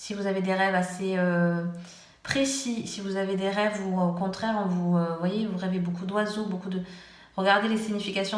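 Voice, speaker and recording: Against noticeable background noise and audible room echo, a woman speaks at a moderate pace in a medium pitch with fairly even intonation. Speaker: tarot reader. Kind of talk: tarot reading. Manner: hesitant.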